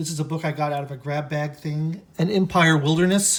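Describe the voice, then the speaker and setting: A man speaks at a fairly high pitch in a somewhat breathy voice. His intonation is fairly even. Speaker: book reviewer and writer. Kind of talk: casual bookshelf tour. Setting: lying on the floor at home. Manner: stammering, hesitant; mumbling.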